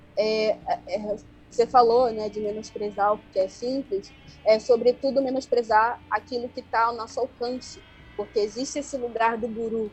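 With monotone, flat intonation, a woman talks at a fairly high pitch. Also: moderate pace. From Angola, Luanda. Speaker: self-taught researcher of the female body. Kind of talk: radio interview. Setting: remote call from home.

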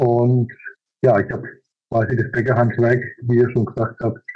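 Over background music, a man at medium pitch talks at a fairly slow pace. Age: 50s. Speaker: master baker and business owner. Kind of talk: interview. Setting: video call.

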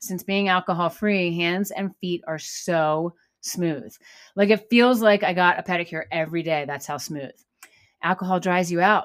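An unremarkable speaking voice shows ordinary pitch variation. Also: woman, fairly low pitch for a woman, moderate pace. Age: 40s. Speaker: podcast host and yoga instructor. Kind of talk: personal monologue. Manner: casual, with filler words.

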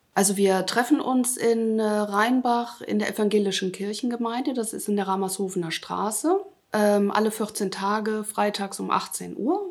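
This woman has a normal speaking voice and talks at a fairly slow pace. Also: fairly high pitch for a woman, ordinary pitch variation. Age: 50s. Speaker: self-help group founder. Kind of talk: interview.

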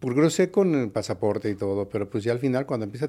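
Very fast in delivery, a man speaks in a dark, mellow tone with ordinary pitch variation. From Mexico City. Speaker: nightclub owner. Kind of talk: interview. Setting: studio.

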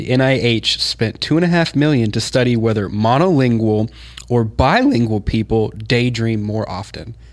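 Speaking in a plain, everyday voice, this man has an American accent, a medium pitch, ordinary pitch variation and a moderate pace. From Kansas, US. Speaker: producer or show crew member. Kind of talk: casual chat.

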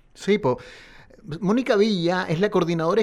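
A man at a fairly quick pace. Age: 40s. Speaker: radio host. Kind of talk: radio interview. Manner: halting, repeats words.

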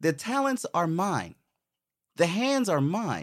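With an American accent, a man speaks at a high pitch with very wide pitch swings. The recording is very clean, with a silent background. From US Virgin Islands (Saint Croix). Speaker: illustrator and Navy veteran. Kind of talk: casual interview chat.

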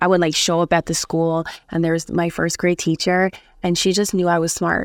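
With an American accent, a woman speaks at a moderate pace in a flat, monotone way, the sound dry and close with no echo. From Buffalo, New York (West Side). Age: 30s. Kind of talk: casual interview chat.

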